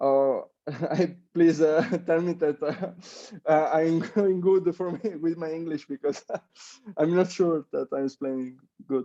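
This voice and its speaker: Dry, close sound with no echo around a man with an Italian accent, a high pitch, a dark, mellow tone, fairly even intonation, a fairly slow pace and long, frequent pauses. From Italy. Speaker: Olympic athlete. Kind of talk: interview. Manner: halting, many fillers.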